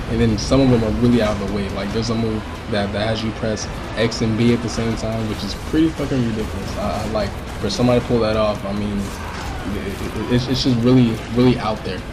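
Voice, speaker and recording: With music in the background, the speech runs at a very fast pace in a monotone, flat intonation. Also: man, medium pitch for a man. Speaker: game reviewer. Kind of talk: casual game review talk. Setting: webcam mic.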